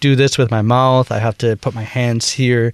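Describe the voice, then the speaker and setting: With a slight Minnesota accent, a man speaks at medium pitch and fairly even intonation, in a dry, close sound with no echo. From US Midwest, Wisconsin. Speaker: bandleader and woodwind musician. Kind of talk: interview. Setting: studio. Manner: halting, many fillers.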